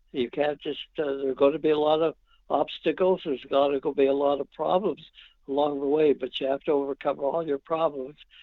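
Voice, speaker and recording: Fairly quick pace from a man, with a fairly high pitch and a monotone, flat intonation. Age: 90s. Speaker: retired hockey coach. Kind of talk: interview. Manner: halting.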